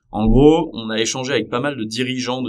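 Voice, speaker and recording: A man talks with fairly even intonation. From Paris region, France. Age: 30s. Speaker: startup co-founder. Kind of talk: podcast interview. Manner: hesitant, many fillers.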